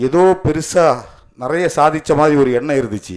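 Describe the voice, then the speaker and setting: Against a quiet background, a man with an unremarkable speaking voice talks with lively intonation at a fairly high pitch. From Kanyakumari district, Tamil Nadu; Tamil Nadu. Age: 40s. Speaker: lawyer and party official; speaker. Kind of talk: ceremony speech. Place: hall. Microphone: podium.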